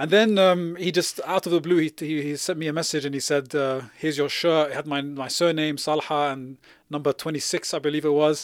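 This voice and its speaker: In a London accent, a man talks with a fairly high pitch and fairly even intonation, hardly pausing at all. The recording is very clean, with a silent background. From West London. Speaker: community organiser and researcher. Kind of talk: interview.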